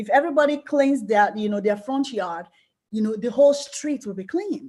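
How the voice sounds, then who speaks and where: The voice has a dark, mellow tone and lively intonation. It comes with a Nigerian accent. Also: woman, high pitch for a woman, moderate pace. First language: Yoruba. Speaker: life coach and book club host. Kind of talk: book club discussion. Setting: group call.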